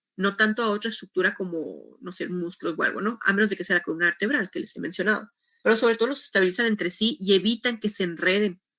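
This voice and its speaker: With a bright, sharp tone, a woman of medium pitch rushes at a very fast pace with hardly any pauses and ordinary pitch variation. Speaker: teacher. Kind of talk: lecture.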